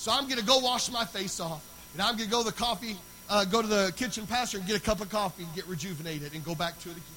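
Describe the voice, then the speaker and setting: Through noticeable background noise, a man speaks in a raised, projected voice at a very fast pace, high in pitch with ordinary pitch variation. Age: 40s. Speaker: pastor. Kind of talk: sermon.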